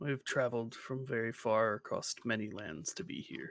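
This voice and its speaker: At a medium pitch, a man does a put-on character voice. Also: moderate pace. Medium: actual play.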